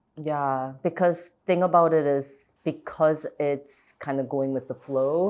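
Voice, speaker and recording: With a slight Korean accent, a woman speaks at a fairly slow pace in a very deep, low voice with fairly even intonation. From Chicago suburbs, US Midwest. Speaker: actress. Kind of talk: interview conversation. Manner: casual, many fillers like 'like'.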